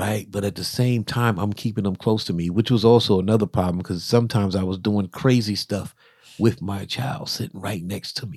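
This man has an ordinary speaking voice and an American accent. His pitch is fairly low, his intonation fairly even, and his pace fairly quick. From US South. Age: 50s. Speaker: podcast co-host. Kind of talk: casual chat.

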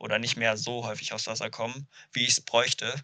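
Over a quiet background, a man speaks at a medium pitch with a bright, sharp tone. His intonation is monotone and flat. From Ruhr area, Germany (Duisburg). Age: 20s. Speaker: windsurfer and student. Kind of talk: podcast interview. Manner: hesitant, many fillers.

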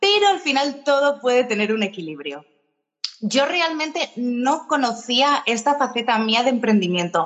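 A woman speaks at a fairly slow pace with a fairly high pitch. Her tone is energetic and animated, and her intonation is lively. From Spain. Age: 30s. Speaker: tour guide and entrepreneur. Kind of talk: interview. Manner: energetic, animated.

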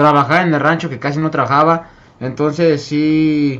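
A man talks in a normal speaking voice. His pace is fairly slow. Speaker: podcast panel member. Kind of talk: casual chat.

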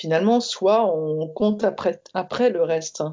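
A woman's medium-pitched voice, full of lively intonation, unfolds at a very slow pace. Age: 40s. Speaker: designer and entrepreneur sharing coming-out story. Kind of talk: testimony. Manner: halting.

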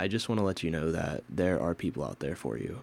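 Very deep, low male voice with vocal fry and an American accent, lively intonation and a moderate pace, on a very clean recording with a silent background. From Pennsylvania. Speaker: podcast host. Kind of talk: solo podcast monologue.

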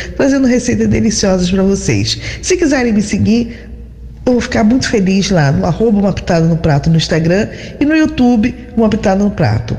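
Amid noticeable background noise and audible room echo, a woman speaks at a medium pitch and a moderate pace, her pitch swinging very widely. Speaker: chef with a cooking segment. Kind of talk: recipe presentation. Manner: animated.

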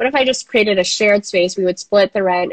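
This is an unremarkable speaking voice: a woman with an American accent at medium pitch and ordinary pitch variation. The sound is dry and close, with no echo. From Minnesota. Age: 30s. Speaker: coworking space founder. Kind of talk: interview. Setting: video call.

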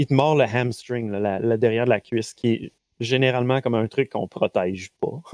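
In a Quebec accent, a man speaks fairly quickly at a medium pitch with fairly even intonation, the sound dry and close with no echo. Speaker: game master running a tabletop role-playing stream. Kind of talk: tabletop role-play narration and live game chat. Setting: live stream online. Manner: halting, many fillers and repetitions.

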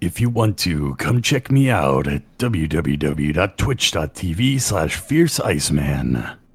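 At a very slow pace with hardly any pauses, a man puts on a character voice with a very deep, low pitch and very wide pitch swings. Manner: movie-trailer style.

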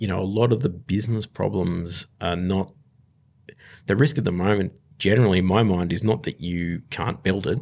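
Here is a man with an Australian accent and a fairly low pitch, speaking at a moderate pace. The recording is very clean, with a silent background. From Australia, southwest Sydney. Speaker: startup investor. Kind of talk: interview. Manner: halting, many fillers.

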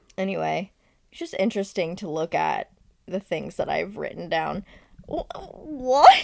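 A woman talks at a moderate pace, her loudness swinging widely. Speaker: podcast co-host. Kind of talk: casual chat. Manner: frequent laughter.

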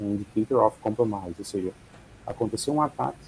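A man's medium-pitched voice comes across dark and mellow, and somewhat breathy. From Rio Grande do Sul, Brazil. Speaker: security specialist. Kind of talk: casual interview.

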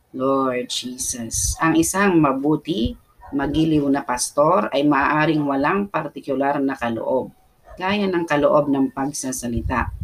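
Against noticeable background noise, a woman with a very deep, low voice speaks at a very slow pace. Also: ordinary pitch variation. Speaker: prayer leader. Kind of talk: fervent prayer, pray-reading scripture. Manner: animated, impassioned, punctuated by repeated "Amen" and calls to the Lord.

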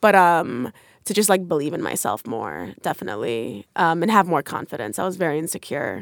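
A woman's very deep, low voice with vocal fry and an American accent, fairly quick, with very wide pitch swings, in a very clean recording with a silent background. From New York / New Jersey area. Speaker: comedian. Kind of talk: casual chat.

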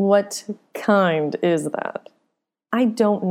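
Heard against a quiet background is an unforced reading voice.

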